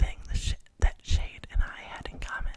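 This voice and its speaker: A calm whisper moves along at a fairly slow pace. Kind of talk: audiobook-style novel reading. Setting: close microphone recording. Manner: soft-spoken, calm, relaxing.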